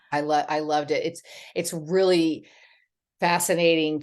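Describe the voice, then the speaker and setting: The intonation stays fairly even at a moderate pace. The background is quiet. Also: woman. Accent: Southern US. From Texas. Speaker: memoir author. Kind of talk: interview answer. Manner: chatty.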